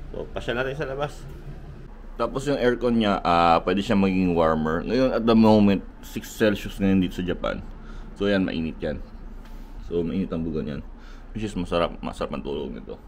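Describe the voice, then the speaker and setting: There are long, frequent pauses as a man speaks amid audible room echo. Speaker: travel vlogger. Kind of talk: casual vlog hotel tour. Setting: hotel room and hallway in Osaka. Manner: soft-spoken, quiet because others sleeping.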